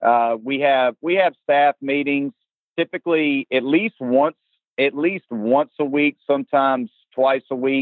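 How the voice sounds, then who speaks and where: This man's voice sits fairly high for a man and carries a Southern US accent. He talks at a fairly slow pace. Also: ordinary pitch variation. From South Carolina. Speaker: college baseball head coach. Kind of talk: interview.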